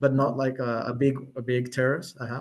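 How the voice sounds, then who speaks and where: A man speaks with a Colombian accent. His pitch is fairly high. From Colombia, Bogotá. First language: Spanish. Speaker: medium. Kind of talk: interview.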